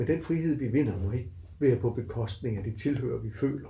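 Fairly quick, somewhat breathy speech from a man at medium pitch, dark and mellow in tone, with ordinary pitch variation and audible room echo. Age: 60s. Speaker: university lecturer. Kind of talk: casual interview.

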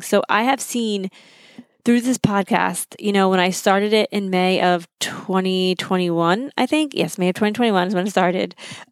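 Fairly quick speech with ordinary pitch variation and a dry, close sound with no echo. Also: woman. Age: 30s. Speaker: podcast host. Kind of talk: casual solo podcast talk. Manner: animated.

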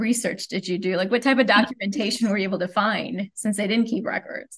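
A woman talks at a fairly quick pace in a fairly high pitch, with a plain, everyday voice. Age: 40s. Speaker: librarian and podcast host. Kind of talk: interview.

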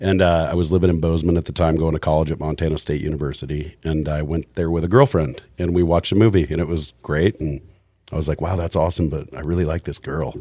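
A man speaks very fast in a very deep, low voice, his dark, mellow tone carried on fairly even intonation. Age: 40s. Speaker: fly fishing sales rep. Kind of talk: casual chat. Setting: studio.

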